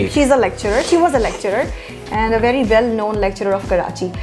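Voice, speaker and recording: A woman's fairly high voice with ordinary pitch variation, music playing in the background. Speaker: voice-over artist; radio host. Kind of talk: interview answer.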